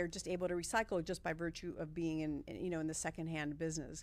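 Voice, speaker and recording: A woman speaks in an American accent with a normal speaking voice, a fairly low pitch and ordinary pitch variation. The recording is very clean with a silent background. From Miami, Florida. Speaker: nonprofit staff member. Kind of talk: interview.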